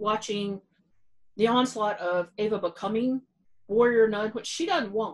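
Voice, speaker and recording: A woman's voice sits fairly high in pitch, with ordinary pitch variation. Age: 40s. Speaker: podcast co-host. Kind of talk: casual chat.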